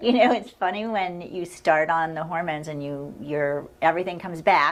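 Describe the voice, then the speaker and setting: Speaking at a moderate pace, a woman with a normal speaking voice uses a fairly low pitch, ordinary pitch variation and big swings in loudness. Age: 60s. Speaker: clinic staff interviewing a patient. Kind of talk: casual interview. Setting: video call.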